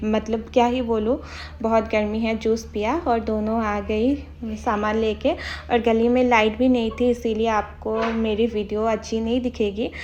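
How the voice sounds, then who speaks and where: A fairly high-pitched woman's voice in a monotone, with flat intonation. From Assam, India. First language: Assamese (speaking Hindi). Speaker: vlogger. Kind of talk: vlog narration.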